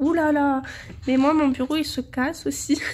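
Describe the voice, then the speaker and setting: Over noticeable background noise, a woman speaks very slowly in a high pitch. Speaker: colouring hobbyist. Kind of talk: casual talk to camera.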